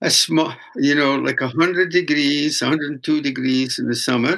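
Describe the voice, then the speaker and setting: A man's fairly high voice in a Scottish accent, with a bright, sharp tone. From Scotland. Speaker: traditional weaver and folk singer. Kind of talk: interview storytelling. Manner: halting.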